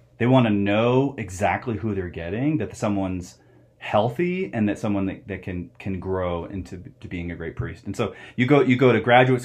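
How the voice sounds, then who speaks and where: A man with a plain, everyday voice, fairly low pitch, an American accent, ordinary pitch variation and a fairly quick pace. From US Southwest, Phoenix, Arizona. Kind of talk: interview.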